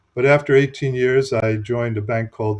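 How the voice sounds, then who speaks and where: A man talks at a fairly quick pace with an American accent. His voice is somewhat breathy. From United States. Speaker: business consultant and author. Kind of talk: interview.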